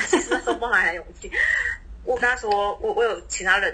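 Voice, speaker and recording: A fairly quick pace against noticeable background noise. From Taiwan. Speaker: flight attendant. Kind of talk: casual chat.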